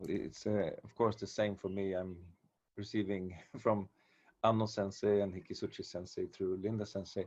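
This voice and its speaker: A fairly low-pitched man with a Swedish accent, monotone and flat in intonation, at a moderate pace. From Sweden. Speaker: martial arts teacher. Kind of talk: casual chat. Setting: video call. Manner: halting.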